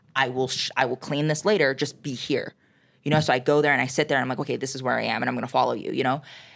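In a very clean recording with a silent background, a woman with a very deep, low pitch and vocal fry talks at a very fast pace, her intonation fairly even. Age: young. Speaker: student. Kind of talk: casual chat. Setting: school journalism room.

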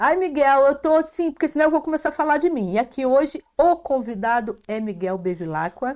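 The tone is animated and the intonation lively, at a moderate pace. It is a very clean recording with a silent background. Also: woman. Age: 50s. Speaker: podcast host and cultural promoter. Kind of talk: casual interview. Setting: live stream.

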